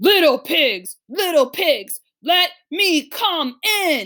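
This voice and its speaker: Growling in a put-on character voice, a woman speaks very slowly at an extremely high pitch. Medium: read story. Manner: menacing.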